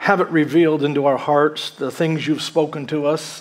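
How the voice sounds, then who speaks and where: A man at a moderate pace. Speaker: pastor preaching. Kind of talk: sermon. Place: church.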